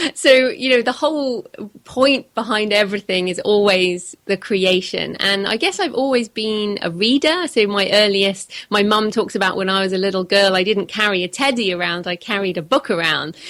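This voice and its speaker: A woman talks at a moderate pace with hardly any pauses. Her pitch is medium, with ordinary pitch variation. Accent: British. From England. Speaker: author. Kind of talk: interview.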